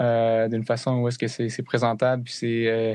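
A man speaks in a normal speaking voice at medium pitch and a moderate pace. The sound is dry and close, with no echo. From Connecticut, US (French-Canadian family from New Brunswick). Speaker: musician and student. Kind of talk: casual interview.

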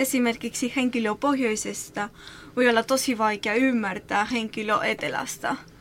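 A woman with a Spanish accent, high pitch, fairly even intonation and a moderate pace. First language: Spanish (speaking Finnish). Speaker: association employee. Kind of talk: interview. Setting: studio. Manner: halting.

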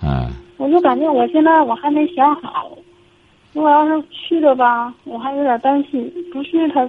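A woman's high voice at a moderate pace, with fairly even intonation and noticeable background noise. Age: 40s. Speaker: caller, divorced mother. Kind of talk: phone-in advice call. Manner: halting, hesitant.

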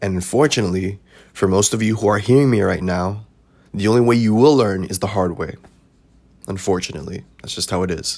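With an American accent and an unremarkable speaking voice, a man talks at a fairly quick pace, his pitch fairly low and ordinary in its variation. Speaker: podcast host. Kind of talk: solo monologue about mistakes. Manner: casual, conversational.

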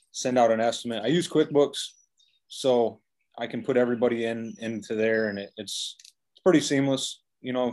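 An unremarkable speaking voice from a man with an American accent, medium in pitch, at a moderate pace, with ordinary pitch variation and big swings in loudness. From Michigan. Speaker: painting contractor. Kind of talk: interview.

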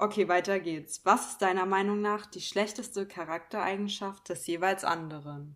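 A woman speaks in an ordinary speaking voice at medium pitch and a moderate pace. Her intonation is fairly even, with hardly any pauses. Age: 20s. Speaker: podcast co-host. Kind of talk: casual chat.

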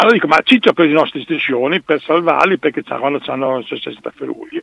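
Here a man talks at a very fast pace. His pitch is fairly high. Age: 60s. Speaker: former football ultras member. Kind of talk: phone interview, storytelling.

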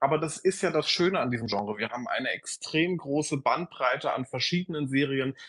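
At a moderate pace and with ordinary pitch variation, a plain, everyday voice speaks over a quiet background. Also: man. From Berlin area. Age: 20s. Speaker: social media creator. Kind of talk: casual chat.

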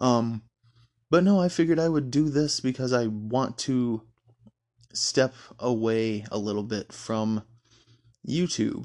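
A man with a Midwestern American accent, medium-pitched, fairly slow, with long, frequent pauses and ordinary pitch variation. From Michigan. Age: 20s. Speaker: podcast host. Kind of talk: casual monologue. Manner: hesitant, many fillers.

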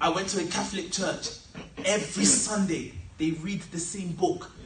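A man speaks with a high pitch over noticeable background noise. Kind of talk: sermon to a live congregation. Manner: direct and conversational, unhurried, keeps asking the crowd to answer; plain and teacherly, not theatrical, stresses character over show.

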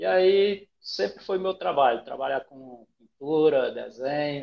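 A man's fairly high voice rises and falls in lively intonation at a very slow pace. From Brazil, Pará (Rondon do Pará). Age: 40s. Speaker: comic artist and character creator. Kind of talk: casual interview.

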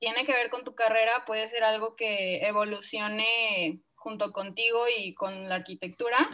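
Her voice is fairly high for a woman, bright and sharp in tone, with fairly even intonation. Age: 20s. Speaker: architect and small business founder. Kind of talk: casual interview chat.

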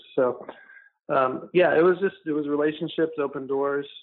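Here is a man with an American accent. He talks at a moderate pace. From Orlando, Florida. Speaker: film producer. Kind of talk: casual interview. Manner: hesitant, many fillers.

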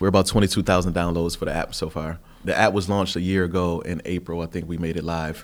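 Talking at a very fast pace, a man with an American accent uses a very deep, low pitch and a monotone, flat intonation. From Buffalo, New York. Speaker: formerly incarcerated app founder. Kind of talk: interview.

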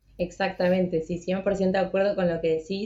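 A woman speaks with an Argentine accent. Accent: Argentine Spanish (Rioplatense). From Argentina. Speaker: podcast host for a visa consultancy. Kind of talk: interview, live stream.

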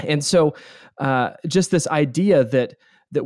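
Recorded very cleanly with a silent background and a dry, close sound with no echo, a man with a normal speaking voice and an American accent talks at a fairly high pitch with lively intonation. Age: 30s. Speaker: pastor and author. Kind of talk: interview.

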